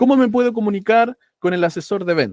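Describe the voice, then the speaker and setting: The sound of a man speaking is dry and close, without any echo. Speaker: AI course instructor. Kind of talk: online lecture.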